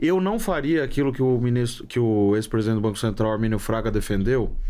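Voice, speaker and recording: Room echo can be heard. The man's delivery is fairly quick. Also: medium pitch for a man, ordinary pitch variation, very even loudness. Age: 30s. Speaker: economist. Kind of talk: interview.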